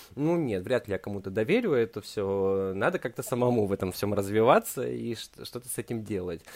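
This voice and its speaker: This man has a normal speaking voice, fairly low in pitch, moving at a moderate pace. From Urals, Russia (Verkhnyaya Pyshma near Yekaterinburg). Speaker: film director and producer. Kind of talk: interview, casual chat. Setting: remote call.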